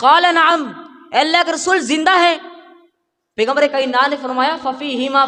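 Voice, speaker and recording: A man talks in a raised, projected voice with ordinary pitch variation. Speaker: Islamic preacher. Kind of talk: Islamic sermon.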